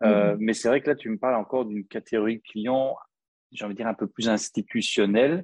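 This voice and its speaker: Against a quiet background, a man with an unremarkable speaking voice talks fairly quickly at medium pitch with ordinary pitch variation. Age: 40s. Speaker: copywriter. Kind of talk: interview.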